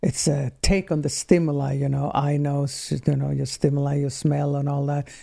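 A woman with a Swedish accent, very deep and low in pitch, dark and mellow in tone, flat and monotone in intonation, at a moderate pace with hardly any pauses. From Sweden. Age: 60s. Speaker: somatic healing practitioner. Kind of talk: casual chat.

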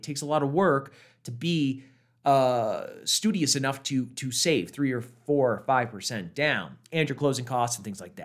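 This man talks in a normal speaking voice, at a moderate pace and medium pitch. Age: 30s. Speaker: podcast host, real estate professional. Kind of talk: solo podcast monologue.

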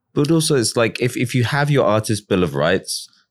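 A man with an English accent speaks at a fairly quick pace. The recording is very clean, with a silent background. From England. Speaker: podcast host. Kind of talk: interview; scripted introduction.

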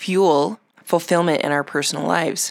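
A woman's voice with ordinary pitch variation comes through a very clean recording with a silent background and a dry, close sound with no echo. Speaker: podcast host. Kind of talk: solo podcast monologue. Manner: warm, encouraging.

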